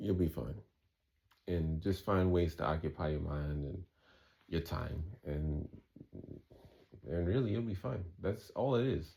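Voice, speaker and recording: In a New York accent, a man speaks with a very deep, low pitch and a dark, mellow tone that is somewhat breathy. His pace is fairly slow, broken by long, frequent pauses. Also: lively intonation. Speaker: vlogger recovering from kratom withdrawal. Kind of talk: casual monologue vlog. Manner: halting, repetitive with fillers.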